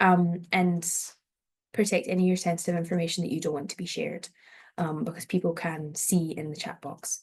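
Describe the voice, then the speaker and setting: Somewhat breathy, a woman speaks at a fairly quick pace with a Scottish accent. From Scotland, North Ayrshire. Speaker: PhD researcher and event host. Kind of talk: online event presentation. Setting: online event, video call.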